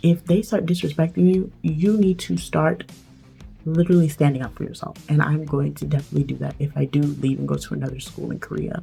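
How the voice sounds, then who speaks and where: Music plays behind a woman's voice. She talks at a fairly quick pace. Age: 20s. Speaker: English teacher. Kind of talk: storytime talk to camera. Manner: casual, chatty.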